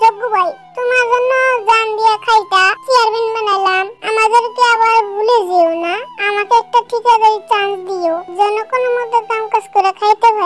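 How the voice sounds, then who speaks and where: This is a cartoonish character voice. Music plays in the background. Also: moderate pace. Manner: eager, ingratiating.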